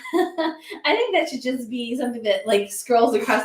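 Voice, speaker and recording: A loud, high-pitched woman's voice amid noticeable background noise. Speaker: livestream co-host. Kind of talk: casual chat. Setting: live stream.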